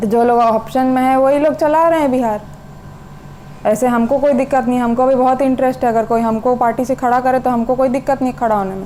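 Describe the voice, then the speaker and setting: Over noticeable background noise, a woman with a Bihari accent speaks at a high pitch and moderate pace with fairly even intonation. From Bihar, India. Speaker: teacher. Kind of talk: casual monologue to camera.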